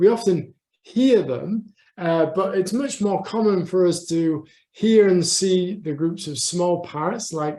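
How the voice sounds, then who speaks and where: With a northeast English accent, a man speaks at a fairly slow pace in a high pitch, his dark, mellow tone carrying ordinary pitch variation. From northeast England. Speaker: conservation scientist. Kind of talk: lecture. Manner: halting.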